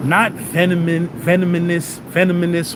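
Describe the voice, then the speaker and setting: Against noticeable background noise, a man speaks in an animated tone with a high pitch. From New York City (Brooklyn, Howard Houses). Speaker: streamer. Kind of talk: angry rant.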